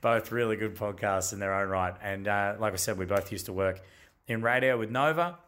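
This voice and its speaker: A man speaks with an Australian accent at a fairly quick pace. His pitch is fairly low, with ordinary pitch variation. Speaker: podcast host. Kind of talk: casual storytelling chat, intro and outro. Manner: casual, humorous.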